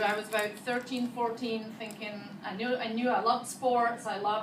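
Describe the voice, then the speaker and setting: With a Scottish accent, a woman speaks at a moderate pace and a fairly high pitch. Room echo is audible, and there is noticeable background noise. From Scotland. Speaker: physical therapist. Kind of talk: talk to students.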